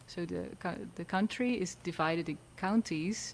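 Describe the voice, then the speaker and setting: Speaking at a fairly slow pace, a woman with a Dutch accent has a fairly low pitch. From Netherlands. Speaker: singer-songwriter. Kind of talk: casual interview chat.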